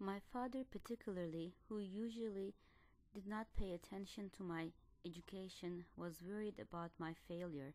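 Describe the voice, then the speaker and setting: A woman with a Turkish accent speaks at a moderate pace, using a fairly low pitch and ordinary pitch variation. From Turkey, Ankara. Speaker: doctoral student. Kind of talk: scripted narration.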